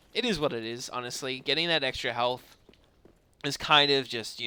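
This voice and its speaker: The tone is bright and sharp. It belongs to a man. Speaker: gaming streamer. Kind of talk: live gameplay commentary. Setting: live stream.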